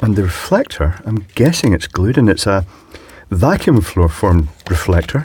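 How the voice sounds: A man speaks at a fairly slow pace in a fairly low pitch, with a husky, rough edge. His pitch swings widely, and his tone is slightly mellow.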